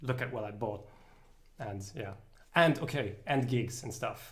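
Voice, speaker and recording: A somewhat breathy voice with fairly even intonation carries audible room echo. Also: man. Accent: British. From Luxembourg. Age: 20s. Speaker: musician. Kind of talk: casual chat. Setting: livestream. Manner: halting.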